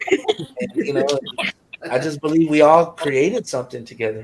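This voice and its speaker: A man with a fairly high voice, lively intonation, big swings in loudness and a moderate pace. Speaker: rapper in a music group. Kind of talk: interview chat.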